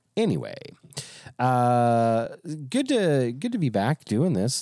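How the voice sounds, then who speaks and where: A man talks at a medium pitch with very wide pitch swings. His tone is dark and mellow. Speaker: pastor. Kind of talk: casual chat.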